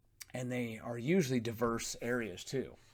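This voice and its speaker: A man's voice in a very clean recording, silent background. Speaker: political commentary youtuber. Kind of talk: political rant monologue. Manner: fast; combative, mocking.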